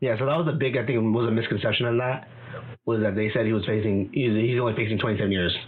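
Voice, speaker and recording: Over noticeable background noise and audible room echo, a man talks at a very fast pace with medium pitch and fairly even intonation. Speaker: podcast guest. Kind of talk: casual chat.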